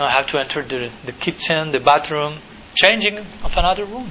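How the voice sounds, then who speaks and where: With a Spanish accent, a man speaks at a moderate pace against noticeable background noise. His pitch is fairly high with ordinary variation. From Argentina. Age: 30s. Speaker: monk and spiritual teacher. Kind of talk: lecture. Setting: college lecture hall with audience.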